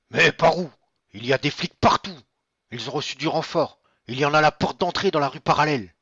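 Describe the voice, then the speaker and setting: A man does a put-on character voice at a fairly high pitch with ordinary variation. He talks fairly quickly but with long, frequent pauses. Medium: audio drama.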